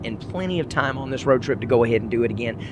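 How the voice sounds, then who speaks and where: Against noticeable background noise, a man with a Southern US accent speaks with ordinary pitch variation. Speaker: podcast host. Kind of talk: casual monologue. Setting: in a car.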